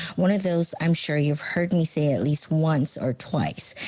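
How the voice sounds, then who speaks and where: A woman's very deep, low voice with a dark, mellow tone, fairly even intonation and a moderate pace. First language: not English. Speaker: show panelist. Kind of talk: prepared monologue rant.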